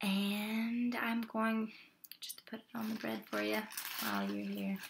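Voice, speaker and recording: Noticeable background noise sits under this recording. A soft-spoken woman talks at a fairly slow pace. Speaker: mukbang video creator. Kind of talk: casual talk to camera while eating. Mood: friendly and chatty. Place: home room. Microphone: webcam.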